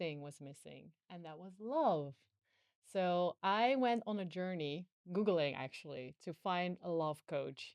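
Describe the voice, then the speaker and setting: A woman with a Dutch accent speaks at a fairly slow pace in a fairly low pitch, her intonation lively and the sound dry and close with no echo. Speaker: podcast host, former TV presenter. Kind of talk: casual chat.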